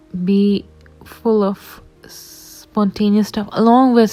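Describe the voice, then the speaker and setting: The voice stays monotone and flat while music plays in the background. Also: woman. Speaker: vlogger. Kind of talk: reflective voiceover narration. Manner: stuttering.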